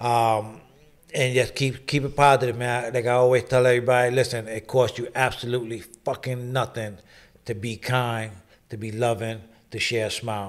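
Speaking with a New York accent, a man keeps a moderate pace. His intonation is monotone and flat. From New York, the Bronx. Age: 40s. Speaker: podcast host. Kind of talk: interview. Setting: studio. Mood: warm, earnest. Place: studio. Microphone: studio mic.

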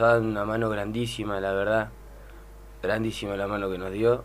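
Loudness swings widely as a man with a fairly low pitch talks in a monotone, flat intonation. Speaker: women's football coach. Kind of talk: radio interview. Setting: studio. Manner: halting. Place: studio.

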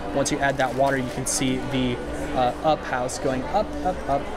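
Moderate-paced speech over loud background music. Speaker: shopping vlogger. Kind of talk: casual vlog chat. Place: shop. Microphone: phone near.

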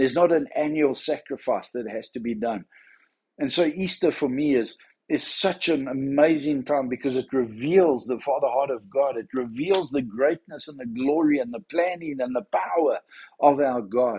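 His tone is dark and mellow. The man keeps a moderate pace with ordinary pitch variation. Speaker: church minister. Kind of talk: devotional talk. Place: home room. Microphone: phone near.

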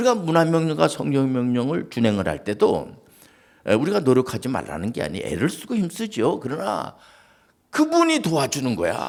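A man at a moderate pace swings his pitch very widely. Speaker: pastor. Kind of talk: sermon. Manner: conversational.

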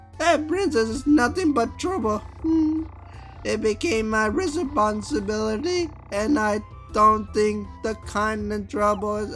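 A man uses a put-on character voice pitched high. Music plays clearly in the background. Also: fairly slow pace. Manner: grumpy, complaining.

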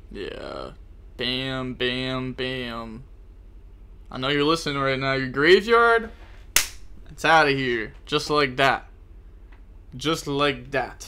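A man talking at a very slow pace with long, frequent pauses, a bright, sharp tone and ordinary pitch variation, over light background noise. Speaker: gaming streamer. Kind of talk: live gameplay commentary. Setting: live stream. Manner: animated; can't raise voice volume. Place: home room.

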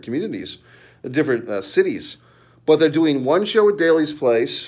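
With a quiet background behind him, a man talks at a moderate pace. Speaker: wrestling commentary YouTuber. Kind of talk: angry profanity-laced wrestling rant. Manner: scornful, sneering and profane, mocking the wrestler with crude jabs; heated and repetitive, with rhetorical questions and filler hesitations. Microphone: phone near.

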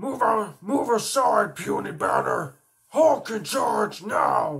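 A man puts on a character voice, raspy and high-pitched. He speaks at a very slow pace. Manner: gruff, shouting.

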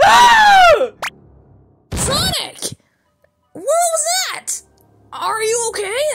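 A woman shouts in a put-on character voice at an extremely high pitch, with very wide pitch swings. She speaks at a very slow pace. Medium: dub. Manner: soft, reassuring.

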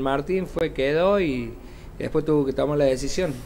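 A man speaks at a fairly quick pace in an ordinary speaking voice, with ordinary pitch variation. Light background noise is present. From Córdoba, Argentina. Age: 50s. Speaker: physical education teacher and sports guest; physical education teacher, guest. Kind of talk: casual interview on local TV. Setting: TV studio. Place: studio. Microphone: podium.

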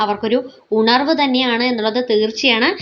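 A woman's high voice with fairly even intonation. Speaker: YouTube vlogger, reality show commentator. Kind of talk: vlog commentary.

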